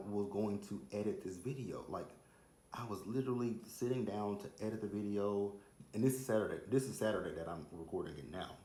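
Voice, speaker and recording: A man with an American accent speaks at a moderate pace and fairly low pitch with lively intonation, amid audible room echo. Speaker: celebrity gossip vlogger. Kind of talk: casual chat. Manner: animated.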